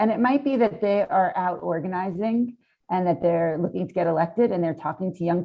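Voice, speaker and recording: An ordinary speaking voice from a woman with an American accent, fairly low pitch, ordinary pitch variation and a fairly quick pace. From New York City. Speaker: climate activist. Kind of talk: panel discussion.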